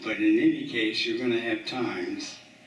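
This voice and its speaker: A man talks at a fairly slow pace. Audible room echo is present. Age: 80s+. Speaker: eulogy speaker, water skier. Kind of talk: memorial tribute speech. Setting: community center memorial gathering.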